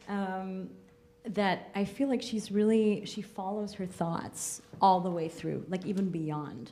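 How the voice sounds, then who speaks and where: Very slow speech from a woman with ordinary pitch variation, music in the background. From Austria. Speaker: theatre artist. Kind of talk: post-show panel discussion.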